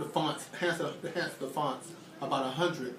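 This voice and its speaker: Fairly quick man's speech with fairly even intonation, audible room echo and noticeable background noise. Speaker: psychology student. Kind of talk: casual self-recorded experiment narration. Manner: halting.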